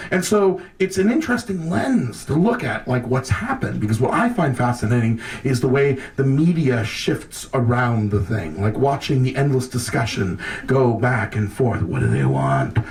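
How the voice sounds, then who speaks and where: A medium-pitched man at a moderate pace, lively in intonation and very even in loudness, with hardly any pauses and noticeable background noise. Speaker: monologist and storyteller. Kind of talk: speech at a public event. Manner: impassioned, profane.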